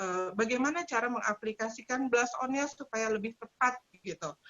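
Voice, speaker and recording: Here a woman speaks at a high pitch with a slight Sundanese accent. Her intonation is lively. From West Java (Sundanese). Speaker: makeup trainer. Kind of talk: webinar tutorial.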